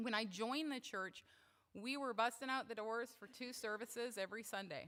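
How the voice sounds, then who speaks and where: A woman speaks loud in a bright, sharp tone. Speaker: church member speaking at service. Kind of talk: talk at worship service. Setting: church service. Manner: casual, with fillers.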